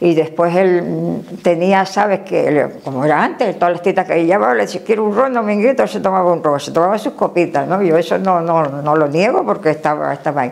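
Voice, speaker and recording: A woman talks fairly quickly with hardly any pauses and lively intonation, her pitch fairly low. Noticeable background noise is present. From Canary Islands (Gran Canaria). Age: 90s. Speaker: elderly local resident interviewee. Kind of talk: interview. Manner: animated.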